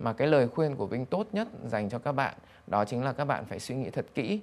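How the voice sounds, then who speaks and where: Pitch swinging very widely, a man talks at a very fast pace. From Vietnam. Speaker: banker, business executive; interview guest. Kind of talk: interview. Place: studio. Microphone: lapel.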